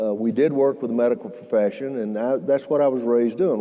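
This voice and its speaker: Very fast speech from a man with a Southern US accent, medium pitch, amid noticeable background noise. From US South (Alabama). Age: 70s. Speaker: healthcare entrepreneur. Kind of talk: fireside chat talk. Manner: halting, many fillers.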